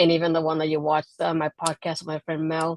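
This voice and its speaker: A woman's very deep, low pitch in monotone, flat intonation at a fairly quick pace, dry and close with no echo. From Puerto Rico. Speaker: wrestling blogger and podcaster. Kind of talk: interview. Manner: quiet.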